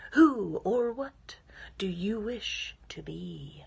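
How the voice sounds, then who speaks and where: A put-on character voice at a very slow pace. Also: female-sounding voice. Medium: read story.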